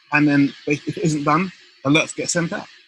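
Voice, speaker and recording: A man with a bright, sharp tone and a fairly high pitch. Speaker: care sector trainer. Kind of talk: webinar presentation. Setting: live webinar. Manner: fast; halting, many fillers.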